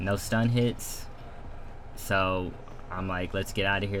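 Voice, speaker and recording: The speech has fairly even intonation and audible room echo. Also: man. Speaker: gaming streamer. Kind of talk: gameplay commentary breakdown.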